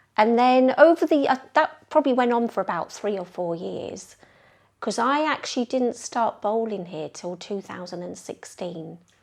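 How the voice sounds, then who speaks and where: Speaking at a moderate pace in a London accent, a woman with a fairly high pitch uses lively intonation and big swings in loudness. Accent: London accent, noticeable in Yorkshire. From North London. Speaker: bowls club member, ladies team organiser. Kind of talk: interview.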